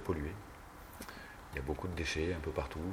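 Fairly even intonation in a man's very deep, low-pitched voice. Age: 30s. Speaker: sailor. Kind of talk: interview. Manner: halting.

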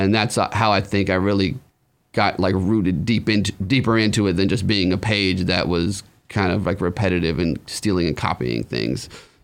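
A man with an American accent and a very deep, low pitch speaks at a moderate pace with vocal fry, ordinary pitch variation and very even loudness in a very clean recording with a silent background. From Humboldt, California and Arizona. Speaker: cannabis social media personality. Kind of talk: casual interview.

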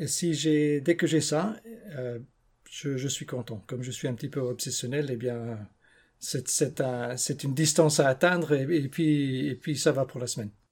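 A somewhat breathy man with long, frequent pauses and ordinary pitch variation, on a very clean recording with a silent background. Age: 50s. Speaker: barefoot runner. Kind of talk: interview. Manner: halting.

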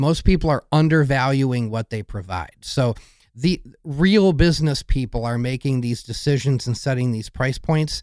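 With ordinary pitch variation and a fairly high pitch for a man, this male speaker keeps a moderate pace. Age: 40s. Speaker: emergency room nurse and mushroom podcaster. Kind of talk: casual interview chat. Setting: remote video call from home basement.

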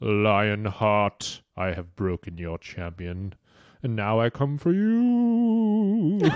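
A put-on character voice, low-pitched and menacing, at a very slow pace. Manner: spooky, menacing.

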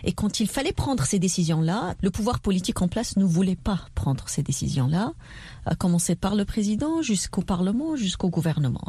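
A woman's dark, mellow, somewhat breathy voice at medium pitch, moderate in pace, with very wide pitch swings. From southern Tunisia. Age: 30s. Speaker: politician and entrepreneur. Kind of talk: radio interview.

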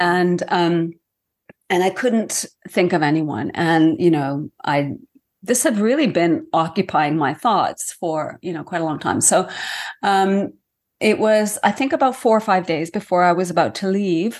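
A woman speaks at medium pitch and a fairly slow pace. It is an ordinary speaking voice with lively intonation over a quiet background. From Iceland, raised partly in Canada. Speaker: author. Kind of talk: interview conversation.

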